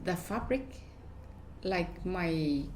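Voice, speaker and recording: A woman with a Vietnamese accent talks at a very slow pace with ordinary pitch variation. There is audible room echo. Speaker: fashion designer. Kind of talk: interview. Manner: halting.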